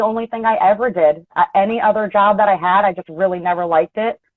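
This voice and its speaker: With an American accent, a woman talks at a very fast pace. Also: hardly any pauses. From Philadelphia, US. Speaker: auto body technician and painter. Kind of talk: casual interview chat. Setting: video call.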